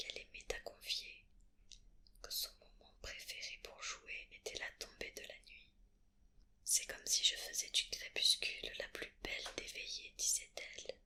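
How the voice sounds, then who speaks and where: The voice whispers at a very slow pace. Long pauses come often. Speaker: ASMR creator. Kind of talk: read story. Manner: whispered.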